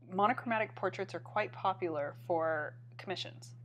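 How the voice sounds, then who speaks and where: There is vocal fry in this woman's voice. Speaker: art teacher. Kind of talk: live stream critique. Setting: live stream. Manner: halting.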